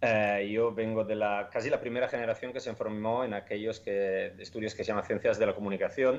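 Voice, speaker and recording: His words come at a fairly quick clip. The man barely stops between them, leaving hardly any pauses. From Italy. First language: Italian (speaking Spanish). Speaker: startup founder. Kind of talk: interview. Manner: halting, many fillers and repetitions.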